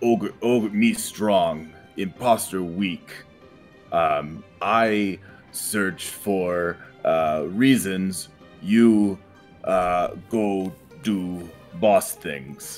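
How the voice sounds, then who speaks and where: A man's put-on character voice, very deep and low in pitch, at a very slow pace with long, frequent pauses over faint music in the background. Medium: actual play. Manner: crude broken speech, bossy bluffing.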